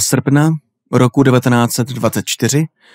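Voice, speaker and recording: Medium-pitched male speech in an ordinary speaking voice, with ordinary pitch variation and a dry, close sound with no echo, on a very clean recording with a silent background. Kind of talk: horror audiobook reading, scripted narration of a Lovecraft story. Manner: slow, atmospheric, ominous narration with creeping dread.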